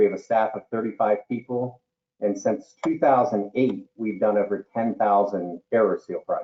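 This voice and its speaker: Here is a man with a normal speaking voice at medium pitch. His pace is moderate and his intonation fairly even. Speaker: duct cleaning business owner. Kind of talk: webinar panel discussion. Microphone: too far from the mic, hard to hear.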